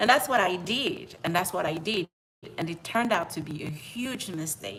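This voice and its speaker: This woman has a French accent and a bright, sharp tone. Her pitch sits fairly low, with ordinary pitch variation. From outside the US, French-speaking. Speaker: personal finance YouTuber. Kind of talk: live stream monologue. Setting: at home. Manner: repetitive, conversational.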